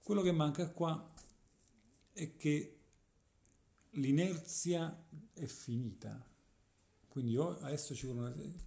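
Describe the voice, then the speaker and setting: A dark, mellow tone, somewhat breathy, at a very slow pace with long, frequent pauses and ordinary pitch variation. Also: man. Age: 40s. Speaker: guitarist. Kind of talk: casual interview.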